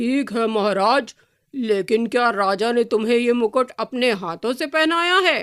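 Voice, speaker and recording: This is a female-sounding voice in a put-on character voice. The pace is moderate. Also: fairly high pitch for a woman. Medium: read story.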